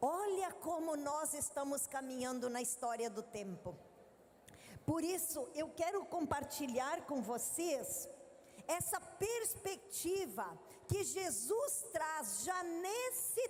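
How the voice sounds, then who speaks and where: A woman's extremely high voice with very wide pitch swings, in a southern Brazilian accent, at a very slow pace amid audible room echo. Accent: gaúcho (southern Brazilian). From southern Brazil (Rio Grande do Sul, Três de Maio). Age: 50s. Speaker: missionary and women's ministry leader. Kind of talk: sermon. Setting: stage with audience at a women's congress.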